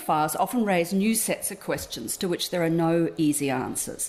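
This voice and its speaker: The speaker talks with an Australian accent. The pace is moderate. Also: woman. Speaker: academic lecturer, fellow. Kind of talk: academic lecture. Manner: formal.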